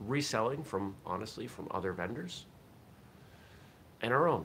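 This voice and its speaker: A man speaks at a fairly slow pace with ordinary pitch variation. His tone is bright and sharp, with light background noise. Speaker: vlog host. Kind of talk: casual vlog chat. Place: home room. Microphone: webcam.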